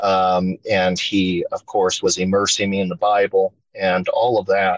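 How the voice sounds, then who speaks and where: A man at a fairly slow pace, in a dry, close sound with no echo. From Spokane, Washington, US Pacific Northwest. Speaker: podcast guest sharing paranormal experiences. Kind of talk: casual storytelling interview. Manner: halting, many fillers.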